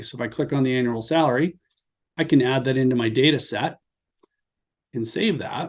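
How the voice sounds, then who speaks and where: A normal speaking voice from a man, medium in pitch, fairly quick in pace, with ordinary pitch variation. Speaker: sales manager presenting software webinar. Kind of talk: software demo webinar. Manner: casual, filler-heavy.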